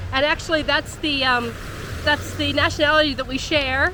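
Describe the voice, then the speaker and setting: Woman with an American accent, high-pitched and fairly quick, amid noticeable background noise. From US. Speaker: travel vlogger. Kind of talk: casual chat. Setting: outdoors.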